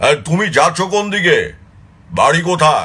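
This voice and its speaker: A man puts on a gruff character voice. He pitches it high. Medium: read story. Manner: gruff, scolding.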